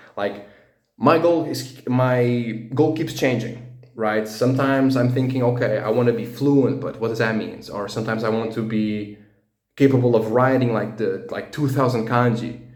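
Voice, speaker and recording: With a Portuguese accent, a man talks at a moderate pace and medium pitch, his intonation fairly even, and audible room echo around him. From Portugal. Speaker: language learning vlogger. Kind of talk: casual personal monologue. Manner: halting, many fillers and restarts.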